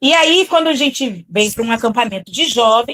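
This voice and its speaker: A woman speaks at a moderate pace with lively intonation, in a dry, close sound with no echo. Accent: Rio de Janeiro. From Rio de Janeiro, Brazil. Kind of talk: speaking at a youth camp event.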